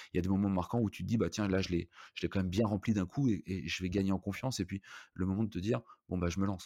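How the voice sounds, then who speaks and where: A dry, close sound with no echo, pitch varying in an ordinary way. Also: man, very clean recording, silent background. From Brittany (Rennes, Saint-Malo). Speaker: hotel entrepreneur. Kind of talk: casual interview. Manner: halting, many fillers.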